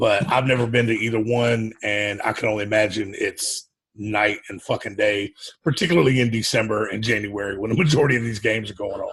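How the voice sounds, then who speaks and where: This man talks at a fairly quick pace in a Southern US accent. His pitch sits at a medium level with ordinary variation. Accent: Southern US (Georgia). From US South. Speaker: podcast co-host. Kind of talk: casual chat.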